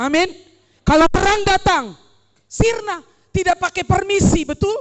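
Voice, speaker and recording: A woman speaks in an animated tone. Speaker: preacher. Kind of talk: sermon.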